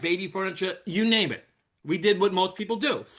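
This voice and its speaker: Talking at a fairly quick pace, a man uses a New York accent. His voice is high, with a bright, sharp tone. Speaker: network marketer, retired firefighter. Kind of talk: sales presentation. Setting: video call.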